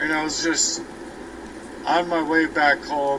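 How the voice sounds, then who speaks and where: A man's voice with audible room echo. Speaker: vlogger. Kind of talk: personal monologue. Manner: halting.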